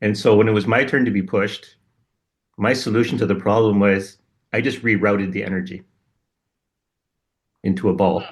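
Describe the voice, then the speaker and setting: A man speaks in a fairly low voice with monotone, flat intonation. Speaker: podcast co-host. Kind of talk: casual spiritual conversation.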